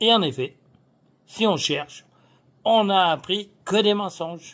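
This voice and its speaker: A man with a high pitch talks at a very slow pace. His pitch variation is ordinary. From France. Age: 70s. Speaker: political activist. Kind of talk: political monologue. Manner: casual; animated.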